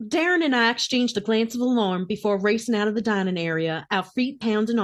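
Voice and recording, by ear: The pitch moves up and down in an ordinary way as the speaker reads aloud naturally.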